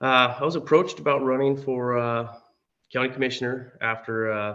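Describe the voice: Gravelly male voice with an American accent, fairly bright in tone and medium in pitch, with little pitch movement, a moderate pace and audible room echo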